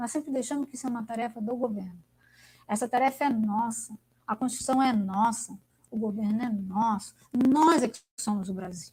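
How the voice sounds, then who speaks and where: This woman has a fairly high pitch and an animated tone. Her pitch varies in an ordinary way at a moderate pace. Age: 60s. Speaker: academic speaker. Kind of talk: online lecture discussion.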